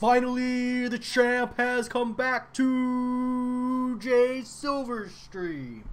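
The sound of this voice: Loud and extremely high-pitched, a man's put-on character voice drones in a monotone, flat intonation at a very slow pace with hardly any pauses.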